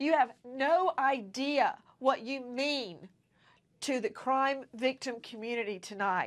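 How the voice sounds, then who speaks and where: Against a quiet background, a woman speaks at a very slow pace in a high pitch with lively intonation. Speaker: TV news host. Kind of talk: news show introduction. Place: studio. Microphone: lapel.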